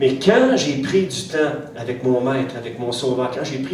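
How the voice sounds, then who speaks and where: A man's medium-pitched voice in a Quebec accent, at a moderate pace, amid noticeable background noise and audible room echo. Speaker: pastor. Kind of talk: sermon. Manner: hesitant, many fillers and repetitions.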